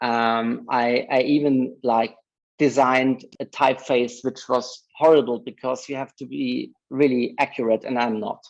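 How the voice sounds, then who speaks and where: Fairly slow, monotone and flat, in a German accent. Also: man, medium pitch for a man. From Germany. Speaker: advertising creative director. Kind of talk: interview. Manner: halting.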